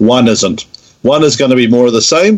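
A man with a New Zealand accent talks at a fairly quick pace. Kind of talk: casual interview.

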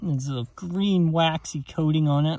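A man speaks in a dark, mellow tone. The sound is dry with no echo, over a quiet background. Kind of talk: casual vlog commentary. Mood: enthusiastic. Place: open country. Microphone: phone near.

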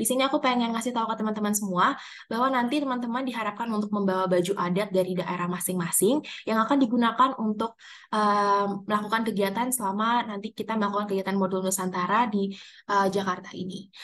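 Her words rush out at a very fast clip. This woman keeps her intonation fairly flat and even. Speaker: student liaison officer. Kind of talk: meeting briefing. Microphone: video call.

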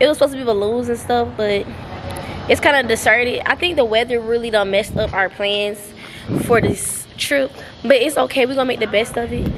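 A woman at a fairly quick pace, against noticeable background noise. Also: ordinary pitch variation. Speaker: travel vlogger. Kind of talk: casual vlog chat. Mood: cheerful, playful. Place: street. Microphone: phone near.

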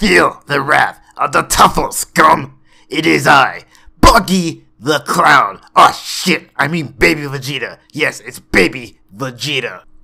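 This put-on character voice is raspy and moves at a fairly slow pace. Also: man, fairly high pitch for a man. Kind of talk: comic impression.

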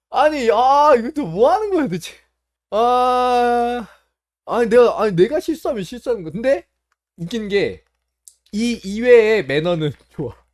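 Recorded very cleanly against a silent background, a man speaks at a fairly slow pace. His pitch is extremely high, with lively intonation. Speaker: mahjong streamer. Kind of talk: casual vlog narration. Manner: halting.

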